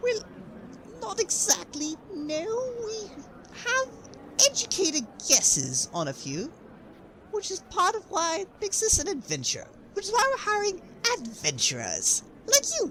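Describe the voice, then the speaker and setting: In a put-on character voice pitched extremely high, the speaker moves at a moderate pace with long, frequent pauses over clear background noise. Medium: audio drama. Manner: upbeat, breezy, laughs easily.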